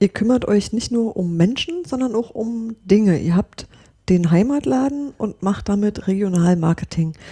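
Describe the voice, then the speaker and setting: A woman's medium-pitched, somewhat breathy voice, dark and mellow in tone, with lively intonation at a fairly slow pace. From Brandenburg. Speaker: podcast host. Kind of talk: interview.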